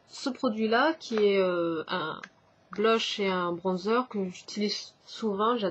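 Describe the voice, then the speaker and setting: Somewhat breathy speech moves through ordinary pitch variation. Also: woman. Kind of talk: casual vlog talk to camera.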